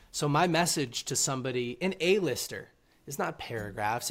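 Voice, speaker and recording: A man with a normal speaking voice at a moderate pace and ordinary pitch variation, on a very clean recording with a silent background. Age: 20s. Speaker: author and reading platform founder. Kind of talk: interview.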